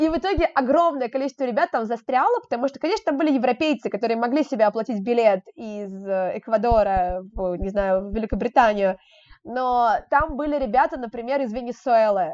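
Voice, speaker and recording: With a high pitch and lively intonation, a woman speaks at a fairly quick pace in a dry, close sound with no echo. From Moscow, Russia. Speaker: travel blogger and children's education organizer. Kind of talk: casual interview. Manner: animated.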